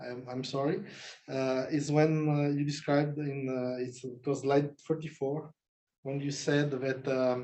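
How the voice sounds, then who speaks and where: Speaking at a fairly slow pace, a man uses a fairly high pitch and a non-native accent. His intonation is monotone and flat. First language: not English. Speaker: jury member at thesis defense. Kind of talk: academic Q&A. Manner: halting, many hesitations.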